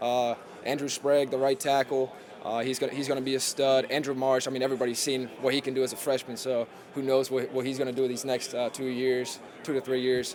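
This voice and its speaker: Noticeable background noise surrounds a man talking very fast at a medium pitch. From Germany. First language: German. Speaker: college football player. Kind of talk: press conference interview. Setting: podium with media. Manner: halting, many fillers.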